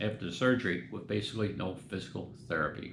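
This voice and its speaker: A man with an American accent talks at a moderate pace, his pitch fairly low with ordinary variation. Audible room echo surrounds the voice. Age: 70s. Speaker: metal detecting youtuber. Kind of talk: casual vlog talk. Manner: halting, many fillers.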